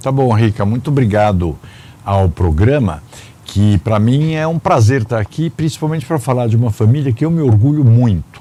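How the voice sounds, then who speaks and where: A man speaks at a medium pitch with a somewhat breathy, dark and mellow tone. His intonation is lively and his pace moderate. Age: 60s. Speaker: businessman and public administrator. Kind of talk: interview. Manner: hesitant fillers.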